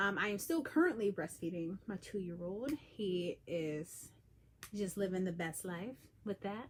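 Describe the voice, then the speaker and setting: Quiet and somewhat breathy, a woman of medium pitch talks at a fairly slow pace with lively intonation. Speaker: peer breastfeeding counselor. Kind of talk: live stream talk. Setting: livestream at home. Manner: lowered energy, quieter.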